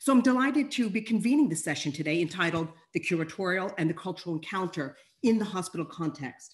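A woman's somewhat breathy voice at a very fast pace, with lively intonation. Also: quiet background. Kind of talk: panel introduction. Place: home room. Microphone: video call.

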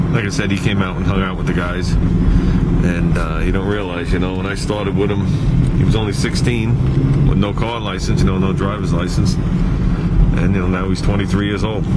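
Loud background noise surrounds a man whose pitch variation is ordinary. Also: fairly quick pace. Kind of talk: casual vlog chat. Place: car. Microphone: phone near.

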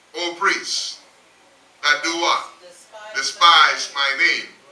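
This is a man speaking. The room echo is audible. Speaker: pastor. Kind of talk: sermon. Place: church.

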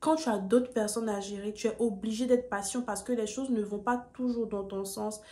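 A woman's fairly high, dark, mellow voice in a monotone, flat intonation. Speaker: YouTuber, student giving admissions advice. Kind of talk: vlog tutorial. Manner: calmer than usual, low energy.

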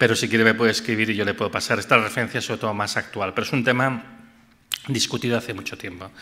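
This man talks at a very fast pace in a bright, sharp tone, his intonation monotone and flat. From Catalonia, Empordà; Catalonia. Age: 50s. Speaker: physicist and energy researcher; invited lecturer. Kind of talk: audience Q&A answers; lecture. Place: hall. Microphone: podium.

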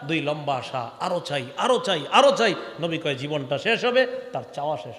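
A man's voice swings very widely in pitch, with noticeable background noise and audible room echo. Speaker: Islamic preacher. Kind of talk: sermon. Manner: animated.

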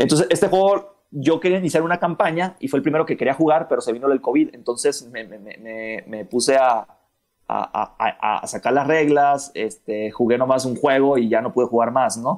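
Speaking at a moderate pace in an ordinary speaking voice, a man with a fairly high pitch uses lively intonation and big swings in loudness. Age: 30s. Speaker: miniature painter and board gamer. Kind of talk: casual chat.

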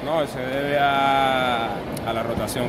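A man is heard over loud background noise. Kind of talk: interview answer. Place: stadium. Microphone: phone near.

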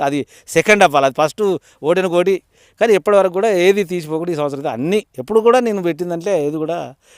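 A man with an ordinary speaking voice, pitched fairly high for a man, speaks with ordinary pitch variation in a dry, close sound with no echo. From Telangana, Warangal district. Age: 60s. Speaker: farmer. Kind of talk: interview.

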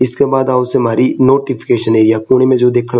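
A man is speaking. His intonation stays flat and monotone. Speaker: computer teacher. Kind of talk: computer tutorial.

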